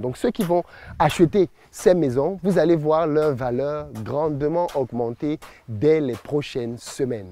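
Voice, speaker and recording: A man speaks with a dark, mellow tone. His pitch is fairly high, with ordinary pitch variation. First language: Bassa (speaking French). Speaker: entrepreneur and business YouTuber. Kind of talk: promotional vlog presentation.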